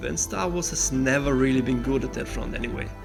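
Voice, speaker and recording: A man with a non-native accent at a fairly quick pace, with music in the background. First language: not English. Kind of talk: casual book review to camera.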